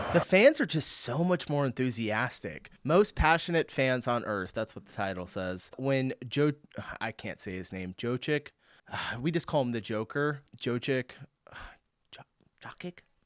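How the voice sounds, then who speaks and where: A man with an American accent and a plain, everyday voice, medium-pitched, at a fairly slow pace, lively intonation and big swings in loudness, in a dry, close sound with no echo on a very clean recording with a silent background. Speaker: reaction video creator. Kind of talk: casual reaction commentary. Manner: casual, chatty.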